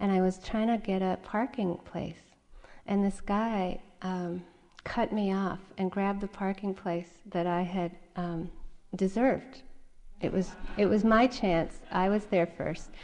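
A woman speaks in an unremarkable speaking voice. Her pitch is medium and her intonation fairly even. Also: fairly slow pace. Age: 40s. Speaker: meditation teacher. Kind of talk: dharma talk at a meditation retreat, reflective personal teaching with anecdotes. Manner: gentle, conversational, unhurried with frequent uh and um fillers; warm, candid storytelling tone.

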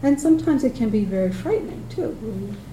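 The speech moves at a moderate pace. Noticeable background noise and audible room echo fill the recording. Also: woman. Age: 60s. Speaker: meditation teacher. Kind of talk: dharma talk. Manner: halting.

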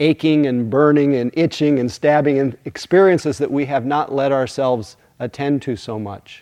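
This man has an unremarkable speaking voice, fairly high in pitch, with fairly even intonation. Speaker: meditation teacher. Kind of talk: guided meditation, then dharma talk. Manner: soothing, slow, gentle pacing; warm, hushed, unhurried.

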